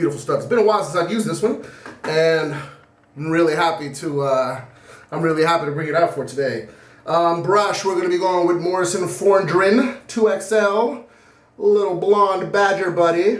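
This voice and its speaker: A loud man with a high pitch and ordinary pitch variation is heard with audible room echo and noticeable background noise. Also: moderate pace. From Puerto Rican heritage. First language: Spanish. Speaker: shaving video creator. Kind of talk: casual vlog monologue.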